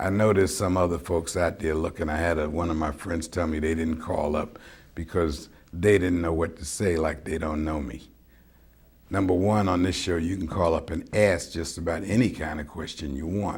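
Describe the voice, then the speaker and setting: Here is a man with an American accent and a very deep, low pitch. His voice is somewhat breathy, with fairly even intonation. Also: moderate pace. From New York. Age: 70s. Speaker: public access TV talk show host, military veteran. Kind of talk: call-in talk show monologue. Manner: casual, conversational.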